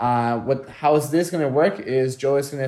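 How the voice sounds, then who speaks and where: A man speaks with a non-native accent. His pitch is medium and his intonation fairly even. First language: not English. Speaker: teacher and podcast co-host. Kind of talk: casual chat.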